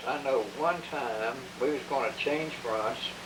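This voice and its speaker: A man's fairly high voice at a very slow pace, with ordinary pitch variation and noticeable background noise. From Kentucky. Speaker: war veteran. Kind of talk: personal war memoir recording. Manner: storytelling, humble.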